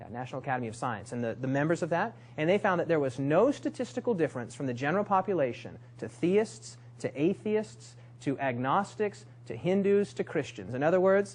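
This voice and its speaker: A man speaks at a fairly high pitch and a fairly quick pace, his voice somewhat breathy. His pitch swings very widely. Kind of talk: lecture. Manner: fast; hesitant, many fillers.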